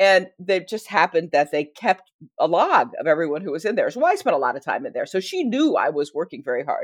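A woman with an American accent talks at a fairly quick pace with hardly any pauses. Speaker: history professor and author. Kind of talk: casual interview.

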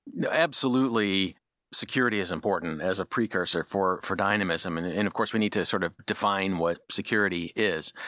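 A man's fairly low, bright, sharp voice with ordinary pitch variation at a fairly quick pace, dry and close with no echo on a very clean recording with a silent background. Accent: American. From US Midwest. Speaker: policy researcher. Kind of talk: interview.

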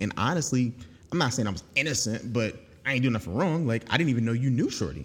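At a fairly quick pace, a man talks with lively intonation in a somewhat breathy voice. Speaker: podcast host. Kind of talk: casual chat. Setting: studio. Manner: soft-spoken.

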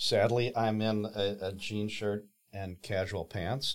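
The pace is very slow. The speaker has an American accent. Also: man. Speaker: podcast host. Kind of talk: interview conversation.

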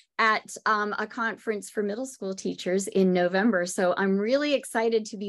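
An unremarkable speaking voice moves at a moderate pace with ordinary pitch variation. The background is quiet. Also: woman. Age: 50s. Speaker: podcast host and music teacher. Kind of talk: casual chat.

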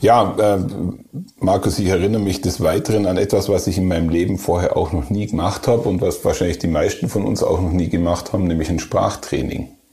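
A man with a very deep, low pitch talks at a fairly quick pace, his loudness very even. His pitch variation is ordinary, and noticeable background noise comes through. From Germany, Allgäu. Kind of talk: casual chat.

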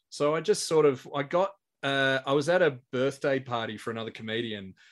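His pitch variation is ordinary. The man talks at a medium pitch. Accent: Australian. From Australia. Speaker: stand-up comedian and compere. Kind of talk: casual chat.

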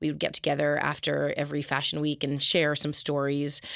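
A woman talks at a fairly quick pace with a very deep, low pitch. The recording is very clean, with a silent background. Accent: Canadian. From Canada, Calgary. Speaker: novelist and fashion publicist. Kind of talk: casual interview.

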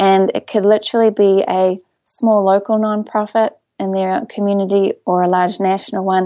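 A woman's dark, mellow voice in a New Zealand accent, medium in pitch, monotone and flat, at a moderate pace. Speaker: coupon website CEO. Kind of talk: interview.

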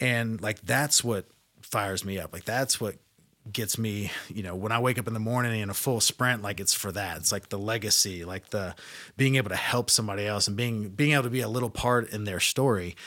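In a very clean recording with a silent background, a man with a normal speaking voice talks at a fairly quick pace, his pitch fairly low and his intonation fairly even. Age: 30s. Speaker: life insurance agent and social media speaker. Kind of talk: casual interview.

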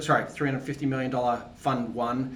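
A man with an Australian accent. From Australia (Tasmania). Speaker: venture capital investor. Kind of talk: interview.

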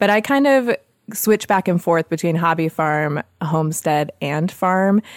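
In a very clean recording with a silent background, a normal speaking voice with an American accent moves at a moderate pace. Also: woman, dry, close sound with no echo. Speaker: homesteader and podcast host. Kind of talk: casual interview chat.

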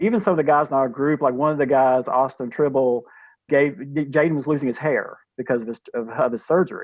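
A man at a very fast pace, his pitch fairly high. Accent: North Carolina. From US South, Durham, North Carolina. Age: 50s. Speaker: pre-K teacher and cancer survivor. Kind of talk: interview, personal storytelling.

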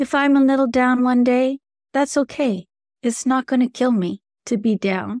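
A woman speaks at a high pitch and moderate pace, with very even loudness and ordinary pitch variation. The recording is very clean with a silent background and a dry, close sound with no echo. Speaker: meditation guide and spiritual coach. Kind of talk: guided reflective monologue, solo podcast talk. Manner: soft-spoken, low energy, warm.

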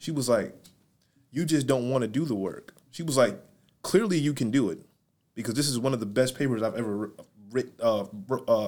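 A man with an American accent speaks at a medium pitch and a fairly quick pace. His pitch varies in an ordinary way, broken by long, frequent pauses. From Syracuse, New York. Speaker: clothing brand owner. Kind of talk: casual chat.

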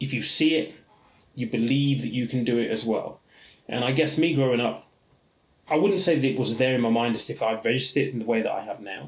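Someone with a British accent talks at a very fast pace. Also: man, medium pitch for a man, ordinary pitch variation. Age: 30s. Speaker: podcast host, personal finance educator. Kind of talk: solo podcast monologue.

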